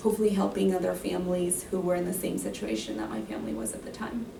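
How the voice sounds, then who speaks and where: A woman speaks at a medium pitch with lively intonation, against noticeable background noise and audible room echo. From Mexico. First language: Spanish. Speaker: graduate counseling student. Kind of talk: interview Q&A.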